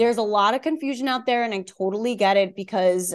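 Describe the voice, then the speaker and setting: A woman with a Long Island accent speaks with ordinary pitch variation against a quiet background. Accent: New York (Long Island). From Long Island, New York. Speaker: wellness coach and author. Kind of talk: casual interview conversation.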